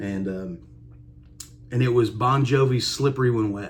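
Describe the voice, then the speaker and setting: In a strong Kentucky accent, the speaker sounds relaxed and somewhat breathy, with audible room echo. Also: man. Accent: strong Kentucky country. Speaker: country musician. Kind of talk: casual vlog monologue. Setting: home music room. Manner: relaxed with many fillers.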